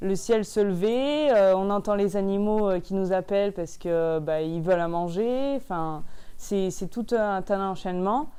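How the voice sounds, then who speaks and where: A woman speaks at a fairly slow pace in a medium pitch. Her tone is dark and mellow, with ordinary pitch variation. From Drôme, France. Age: young. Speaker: young farmer. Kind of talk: interview answer. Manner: hesitant, casual.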